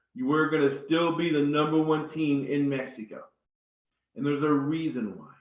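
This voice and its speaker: A man with a fairly high pitch is heard with audible echo from the room. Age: 50s. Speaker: network marketing presenter. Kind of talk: live webinar sales presentation. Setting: live webinar. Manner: deliberately slowed down.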